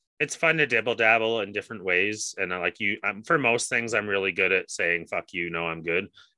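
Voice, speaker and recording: A man talks fairly quickly with hardly any pauses at fairly low pitch, using ordinary pitch variation in an unremarkable speaking voice. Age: 30s. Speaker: podcast co-host. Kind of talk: casual chat.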